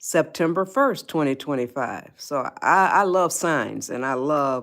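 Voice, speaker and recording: In a very clean recording with a silent background, a woman with a very deep, low pitch speaks in an American accent at a fairly slow pace with ordinary pitch variation. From US Midwest, Detroit, Michigan. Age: 80s+. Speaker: livestream host, life advice. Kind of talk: casual livestream chat. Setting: livestream. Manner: halting, many fillers and restarts.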